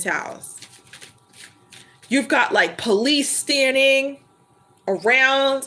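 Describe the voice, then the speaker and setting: Over noticeable background noise, a woman raises and projects her high voice with lively intonation. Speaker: tarot reader. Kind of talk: live stream tarot reading chat. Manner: high-pitched; loud.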